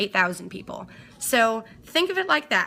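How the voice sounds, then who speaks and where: With music in the background, a woman speaks in an animated tone at a fairly high pitch. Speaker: DJ and live streamer. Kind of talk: casual live-stream chat. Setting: home studio, live stream. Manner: fast.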